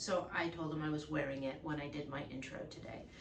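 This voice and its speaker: A woman speaks at a moderate pace while noticeable background noise runs underneath. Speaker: podiatrist. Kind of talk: casual talk to camera.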